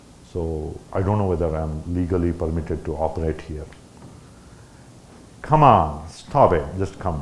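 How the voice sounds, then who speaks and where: Noticeable background noise and audible room echo accompany a moderate pace, fairly even intonation and long, frequent pauses. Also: man, very deep, low pitch for a man. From India. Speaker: ham radio operator, guest speaker. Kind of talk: talk at a club meeting. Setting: meeting room with audience. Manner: halting.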